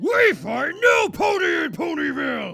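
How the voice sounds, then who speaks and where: Faint music plays behind a man doing a put-on character voice at a moderate pace. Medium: read story. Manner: broken grammar, simple.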